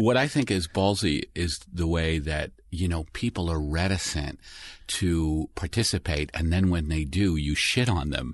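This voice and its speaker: At a fairly slow pace, a man talks in a very deep, low pitch. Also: ordinary pitch variation, quiet background. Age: 50s. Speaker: comedian. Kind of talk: casual chat. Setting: studio.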